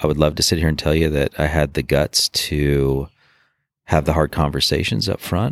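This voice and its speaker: At a moderate pace, a man speaks with a very deep, low pitch in a dry, close sound with no echo. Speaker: former Marine and police officer. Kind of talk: personal testimony interview. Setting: outdoors. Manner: halting with fillers.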